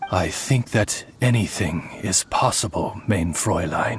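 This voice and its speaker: A man puts on a character voice, pitched fairly low. He delivers it at a fairly slow pace. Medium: machinima. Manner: courteous.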